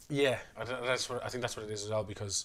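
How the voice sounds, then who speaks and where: Mumbling in a Dublin accent, a man speaks with a bright, sharp tone and fairly even intonation. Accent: Dublin Irish. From Ireland, Dublin. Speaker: podcast co-host. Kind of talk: casual chat. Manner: fast.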